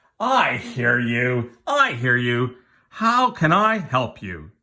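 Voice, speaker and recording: A put-on character voice at a low-to-middle pitch and a very slow pace. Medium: read story.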